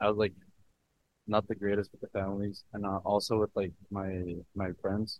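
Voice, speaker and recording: Here a man speaks in an unremarkable speaking voice, pitched fairly low. His pace is moderate. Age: 20s. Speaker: podcast host and student salesman. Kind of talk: casual interview.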